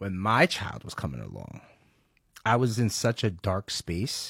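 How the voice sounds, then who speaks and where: Recorded very cleanly over a silent background, a man speaks in a fairly low pitch with an animated tone and ordinary pitch variation. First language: Spanish. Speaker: podcast co-host. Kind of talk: casual chat.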